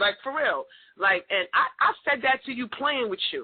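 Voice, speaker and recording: Animated in tone, a woman with a New York accent speaks at a fairly quick pace. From New York, Queens. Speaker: podcast host. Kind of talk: casual chat.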